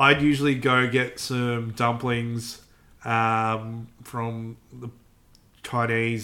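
This man has a medium pitch and a bright, sharp tone. His intonation is monotone and flat, in an Australian accent. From Melbourne, Australia. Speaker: podcast co-host. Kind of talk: casual chat.

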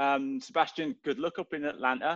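A man with a Welsh accent talks at a moderate pace with lively intonation, and the sound is dry and close with no echo. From Wales, Swansea. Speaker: soccer podcast co-host. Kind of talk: casual chat.

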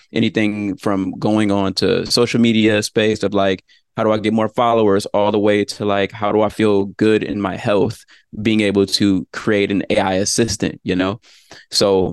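A man with an unremarkable speaking voice, fairly low in pitch, at a moderate pace against a quiet background. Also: dry, close sound with no echo. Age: 30s. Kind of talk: casual chat; tutorial.

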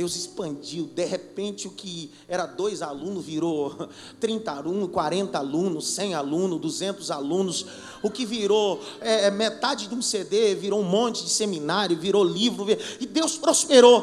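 Speaking at a fairly slow pace in an animated tone, a man with a high pitch uses lively intonation amid audible room echo and noticeable background noise. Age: 30s. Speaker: pastor. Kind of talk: sermon.

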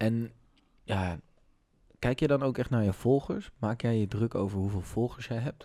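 At a moderate pace with long, frequent pauses, a man speaks in a medium-pitched voice with a dark, mellow tone and ordinary pitch variation, in a very clean recording with a silent background. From Amersfoort, Netherlands. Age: 20s. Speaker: podcast host. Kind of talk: casual chat.

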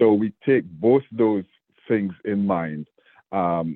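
This man has a very deep, low pitch and a Jamaican accent. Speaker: state government official. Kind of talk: interview.

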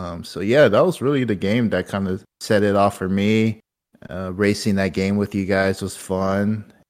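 A man with an unremarkable speaking voice talks at fairly low pitch and a moderate pace, with fairly even intonation, on a very clean recording with a silent background. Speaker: podcast host.

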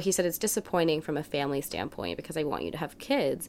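With an American accent, a woman talks at a fairly low pitch. Vocal fry runs through her voice. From US South, New Orleans. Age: 20s. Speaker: digital media employee. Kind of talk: casual chat.

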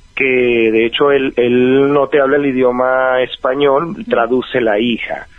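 A man with an ordinary speaking voice, medium pitch and fairly even intonation, at a fairly slow pace with hardly any pauses. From Venezuela (Valencia). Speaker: life coach. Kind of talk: advice interview.

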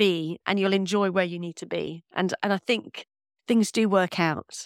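A woman speaks with a London accent. The sound is dry and close, with no echo. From North London, England. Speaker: paediatric consultant. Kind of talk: interview.

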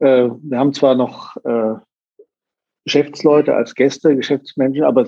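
Speaking at a moderate pace, a man with a fairly high pitch and a dark, mellow tone is heard in a dry, close sound with no echo. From northern Germany (Sylt). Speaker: hotelier and hospitality association president. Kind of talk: interview.

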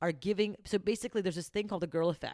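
A woman has a plain, everyday voice at medium pitch with ordinary pitch variation. The recording is very clean with a silent background. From Canada. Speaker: entrepreneur. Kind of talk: casual chat.

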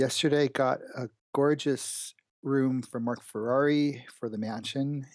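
A man's medium-pitched, ordinary speaking voice at a fairly slow pace, with ordinary pitch variation, a dry, close sound with no echo, and a quiet background. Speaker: game developer. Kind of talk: casual chat.

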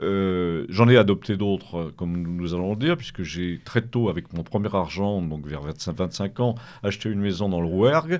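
An unremarkable speaking voice, this man talks at a fairly slow pace with ordinary pitch variation. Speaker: author. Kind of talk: radio interview.

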